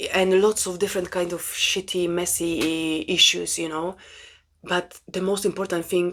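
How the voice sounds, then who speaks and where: With a Polish accent, a woman talks at a fairly low pitch and a moderate pace. Her intonation is monotone and flat, and the recording is very clean with a silent background. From Poland. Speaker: spiritual self-help vlogger. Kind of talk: casual monologue. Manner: halting.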